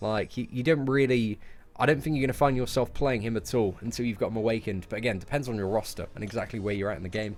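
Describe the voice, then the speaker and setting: Over music in the background, a man talks at a very fast pace in an animated tone at medium pitch with ordinary pitch variation. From London, England. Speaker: gaming streamer. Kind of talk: live stream chat answering viewers. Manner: casual, animated.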